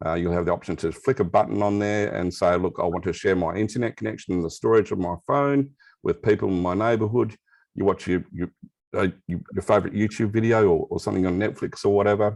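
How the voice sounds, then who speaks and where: Speaking with an Australian accent, a man moves at a fairly quick pace. His pitch is fairly low. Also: quiet background. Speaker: crypto and blockchain expert. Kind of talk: interview explanation. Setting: video call with camera off.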